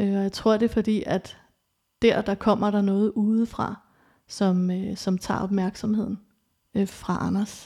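A woman talks in a dark, mellow, somewhat breathy tone with monotone, flat intonation and long, frequent pauses. The recording is very clean, with a silent background. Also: medium pitch for a woman, fairly slow pace. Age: 40s. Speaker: interviewee sharing experience of abuse. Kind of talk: personal testimony. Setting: studio. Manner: halting, many fillers.

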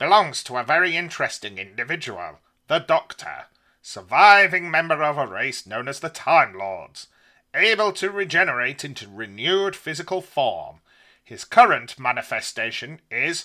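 A man puts on a character voice pitched fairly high, captured in a very clean recording with a silent background. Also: moderate pace. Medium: read story. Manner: explanatory, deferential.

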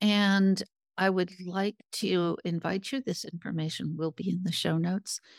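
A woman with an unremarkable speaking voice talks at a fairly slow pace at medium pitch, her intonation fairly even and the sound dry and close with no echo. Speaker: podcast host. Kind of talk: interview.

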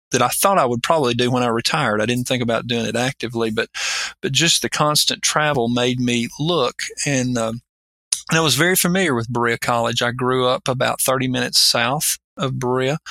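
In an Appalachian accent, a man with a medium pitch and a bright, sharp tone talks at a fairly quick pace, with ordinary pitch variation, very even loudness and a dry, close sound with no echo. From Appalachia, Kentucky. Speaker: college operations executive. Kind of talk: interview.

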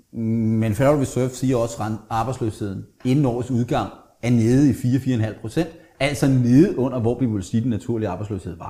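A somewhat breathy man talks at a fairly quick pace in a dark, mellow tone. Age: 50s. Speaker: economist. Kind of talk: interview.

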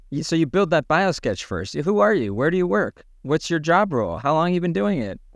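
Moving at a fairly quick pace with hardly any pauses, the speech has very wide pitch swings over a quiet background. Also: man, fairly high pitch for a man. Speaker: podcast co-host. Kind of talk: conversational interview.

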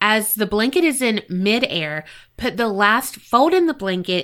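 Intonation here is lively. The reading voice is a natural one.

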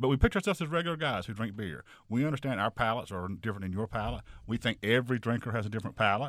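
Speaking at a very fast pace with lively intonation, a man keeps to a medium pitch in a very clean recording with a silent background. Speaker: beer website creator. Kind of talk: interview.

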